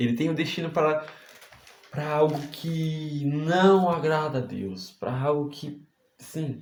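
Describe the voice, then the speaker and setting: This man talks at a very slow pace in a fairly high voice with ordinary pitch variation. Room echo is audible. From Brazil, Santa Catarina. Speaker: preacher. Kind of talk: sermon. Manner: animated.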